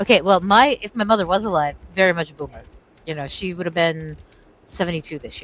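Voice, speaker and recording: A woman speaks very fast in a fairly low voice, her loudness swinging widely while her pitch varies in an ordinary way. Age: 40s. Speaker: gamer friend. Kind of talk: casual chat.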